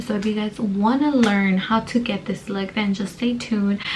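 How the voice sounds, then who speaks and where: A woman speaks at a moderate pace with a medium pitch and fairly even intonation over noticeable background noise. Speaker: beauty vlogger. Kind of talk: makeup tutorial. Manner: casual, filler-heavy.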